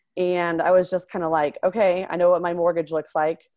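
A woman talks at a moderate pace in a fairly low pitch, with an ordinary speaking voice. The background is quiet. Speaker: real estate investor and physician assistant. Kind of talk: interview.

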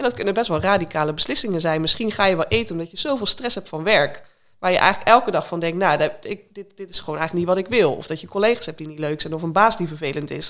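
A woman speaks at a very fast pace. She leaves hardly any pauses. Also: medium pitch for a woman, lively intonation. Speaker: weight-loss coach. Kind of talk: interview conversation.

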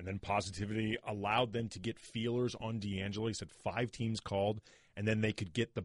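In a dry, close recording with no echo and a quiet background, a man has a normal speaking voice at medium pitch with fairly even intonation. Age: 40s. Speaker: sports podcast host. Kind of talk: casual chat.

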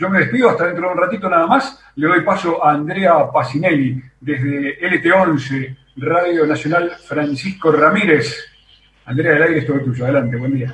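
This is an ordinary speaking voice, a man's, pitched fairly high. He moves at a moderate pace with ordinary pitch variation. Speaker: radio host. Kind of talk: radio hosting. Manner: formal.

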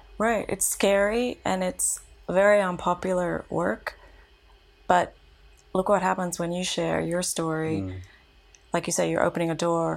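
With an Australian accent, a woman talks at a moderate pace, leaving long, frequent pauses. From Australia, Canberra. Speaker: activist. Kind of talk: casual interview conversation. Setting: apartment.

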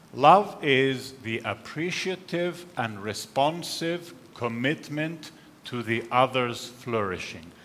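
Speaking very slowly, a man with a medium-pitched voice uses lively intonation over noticeable background noise. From Finland and Canada. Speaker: professor. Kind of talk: lecture.

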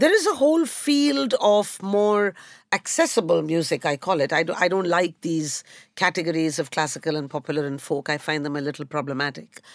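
An Indian accent at a moderate pace with very wide pitch swings, on a very clean recording with a silent background. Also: woman. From India, Calcutta. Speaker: historian. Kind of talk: panel discussion.

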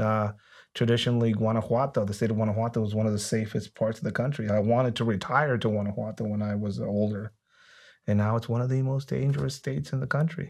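A man's fairly low voice with ordinary pitch variation, a fairly quick pace and a quiet background. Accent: Spanish. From Mexico, Tijuana. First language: Spanish. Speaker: former police officer and cartel expert. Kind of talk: interview conversation.

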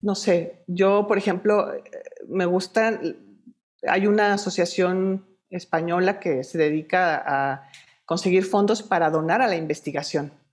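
A woman speaks at a fairly slow pace in an unremarkable speaking voice. Her pitch sits in the medium range, with ordinary pitch variation. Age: 40s. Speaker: breast cancer survivor and activist. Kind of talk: interview.

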